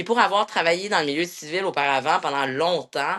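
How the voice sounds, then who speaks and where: A woman's very deep, low-pitched voice with ordinary pitch variation. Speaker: military instructor. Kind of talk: interview. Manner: loud; halting.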